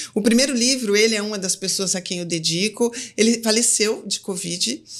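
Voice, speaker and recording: Over noticeable background noise, a woman with a fairly high pitch talks at a moderate pace with ordinary pitch variation. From Brazil, Campinas (São Paulo state). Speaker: physician. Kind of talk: interview conversation. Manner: casual, conversational.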